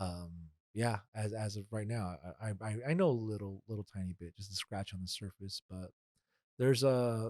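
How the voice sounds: A man speaks at a fairly low pitch with ordinary pitch variation and a slightly mellow tone. The sound is dry and close, with no echo. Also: moderate pace.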